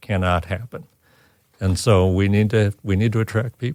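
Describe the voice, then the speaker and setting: An unremarkable speaking voice from a man, fairly low in pitch, with ordinary pitch variation, a moderate pace, a dry, close sound with no echo, and a very clean recording over a silent background. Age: 60s. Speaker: custom furniture maker, business owner. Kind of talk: interview.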